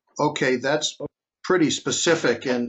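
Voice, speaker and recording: Fairly high in pitch, a man talks at a moderate pace with a Boston accent. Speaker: podcast host, maritime law enforcement trainer. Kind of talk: interview podcast.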